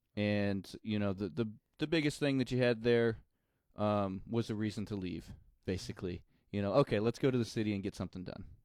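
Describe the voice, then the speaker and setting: At a fairly quick pace, the speaker uses ordinary pitch variation in an American accent. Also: man, fairly low pitch for a man. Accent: slight country accent, mostly when drinking. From rural Missouri, US Midwest. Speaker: musician. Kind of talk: interview.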